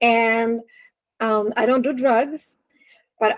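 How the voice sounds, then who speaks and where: She is a woman with a Russian accent. Her pitch is fairly high. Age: 40s. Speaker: nutrition and wellness coach. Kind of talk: webinar talk. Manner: casual, animated.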